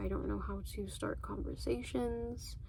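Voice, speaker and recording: Speech at a moderate pace carries an audible room echo amid noticeable background noise. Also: woman. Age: 20s. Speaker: vlogger. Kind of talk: casual chat. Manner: monotone; low energy.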